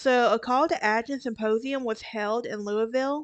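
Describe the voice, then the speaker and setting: Against a quiet background, a woman in a Southern US accent talks at a fairly slow pace with a fairly high pitch and ordinary pitch variation. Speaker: true crime podcaster. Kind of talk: casual narration. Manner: halting, with fillers and self-corrections.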